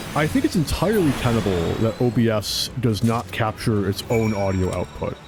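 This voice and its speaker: Over music in the background, a man speaks at medium pitch with ordinary pitch variation and very even loudness. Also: moderate pace. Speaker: game streamer. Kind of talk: casual live-stream commentary. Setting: live stream. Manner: halting, repeating words.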